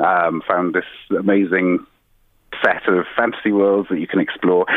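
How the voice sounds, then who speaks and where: With a Welsh accent, a man talks at a moderate pace. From South Wales. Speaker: company CEO. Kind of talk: interview. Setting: phone call. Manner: halting.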